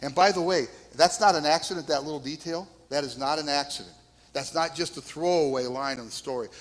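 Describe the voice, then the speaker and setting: A man with a fairly high pitch talks at a fairly quick pace. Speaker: pastor. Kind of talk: sermon. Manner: soft-spoken.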